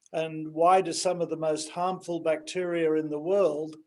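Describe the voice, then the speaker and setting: Man with an Australian accent, high-pitched and flat in a monotone, at a moderate pace. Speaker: pharmaceutical company founder. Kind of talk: interview.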